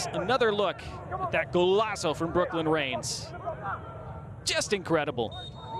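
A man with a high voice speaks at a fairly slow pace, stopping often for long pauses. Crowd noise carries in the background. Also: lively intonation. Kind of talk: live sports commentary. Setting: stadium commentary feed for a match broadcast. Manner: clipped, fluent narration of each touch.

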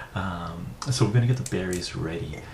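Background noise can clearly be heard. Over it, a man talks at a moderate speed. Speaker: ASMR creator. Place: home room.

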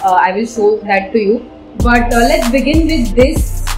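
A woman talks at a fairly slow pace. Clear music plays in the background. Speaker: home decor vlogger. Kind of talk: casual vlog chat. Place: home room.

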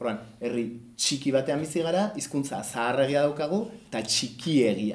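Lively intonation runs through this man's fairly high-pitched voice. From Basque Country. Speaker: cartoonist presenting his comic book. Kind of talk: book presentation talk. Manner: hesitant, many fillers. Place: hall. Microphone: camera far.

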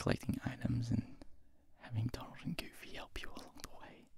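Whispering at a moderate pace, a man speaks. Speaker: ASMR creator. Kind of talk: soft-spoken ASMR chat about video games. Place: home room. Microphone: handheld.

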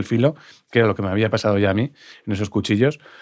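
Captured in a very clean recording with a silent background, a man's voice has a dry, close sound with no echo. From Spain, Pamplona (Navarre). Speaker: podcast host, dietitian-nutritionist. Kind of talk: casual chat.

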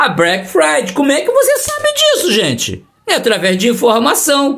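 With a quiet background, a man speaks at a fairly slow pace. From Brazil. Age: 60s. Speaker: coin collecting youtuber. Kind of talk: tutorial. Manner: animated. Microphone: phone near.

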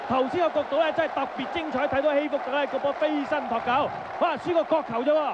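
Over crowd noise in the background, a man talks very fast at an extremely high pitch, his intonation fairly even. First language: Cantonese (speaking Vietnamese). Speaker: football commentator. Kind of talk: live commentary.

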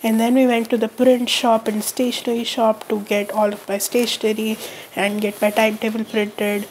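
Noticeable background noise sits behind a woman's voice. She speaks at a fairly high pitch with monotone, flat intonation. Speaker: college student. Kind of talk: casual vlog narration.

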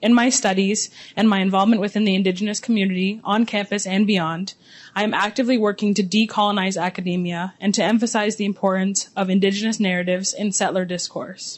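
A somewhat breathy woman with a Canadian accent, medium pitch, monotone, flat intonation and a very fast pace. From Six Nations of the Grand River, Ontario, Canada; Ontario, Canada. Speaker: student event host. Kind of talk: formal event hosting, scripted. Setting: room with live audience. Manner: formal. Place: hall. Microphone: handheld.

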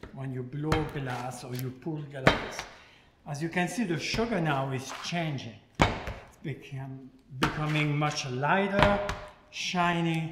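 Over loud background noise, a man speaks at a very slow pace with ordinary pitch variation. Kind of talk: tutorial. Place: kitchen.

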